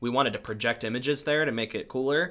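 A man with an American accent talks at a fairly quick pace in a bright, sharp tone. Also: very clean recording, silent background. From US West Coast, San Diego area. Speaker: former church staff, town council member. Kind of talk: casual chat. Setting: in person, spiritual center.

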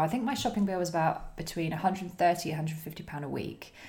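A woman speaks at a moderate pace in a fairly low, somewhat breathy voice with ordinary pitch variation. Audible room echo surrounds her. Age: 30s. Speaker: eco Facebook group founder. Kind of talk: casual chat.

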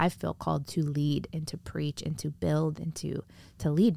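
A woman with an American accent speaks at a moderate pace in a very deep, low pitch with a dark, mellow tone. The recording is very clean, with a silent background. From US Midwest, northwest Indiana. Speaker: pastor. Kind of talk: casual interview. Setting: converted camper podcast studio.

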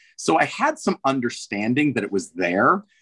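In an ordinary speaking voice, a man of medium pitch talks at a moderate pace with lively intonation, in a dry, close sound with no echo. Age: 50s. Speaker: swim coach and swim school owner. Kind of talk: interview.

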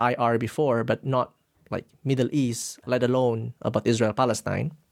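With an Indonesian accent, a man talks at medium pitch in a dry, close sound with no echo. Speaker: graduate student. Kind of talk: podcast interview.

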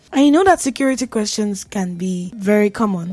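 Over music in the background, a woman speaks at a moderate pace and medium pitch with lively intonation. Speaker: radio host. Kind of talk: radio host patter, upbeat and chatty, with tips and sign-offs. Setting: studio. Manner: animated; conversational, playful and self-teasing.

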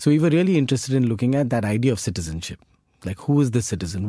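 Very fast speech from a man, medium pitch, dark and mellow tone, lively intonation. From India, Mumbai (Borivali). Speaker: architect and architecture professor. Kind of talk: interview conversation.

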